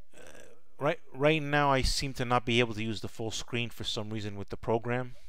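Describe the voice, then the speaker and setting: A man at a fairly quick pace with fairly even intonation and audible room echo. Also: medium pitch for a man. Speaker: stock trading educator. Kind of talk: live stream chat. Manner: repetitive stammering restarts.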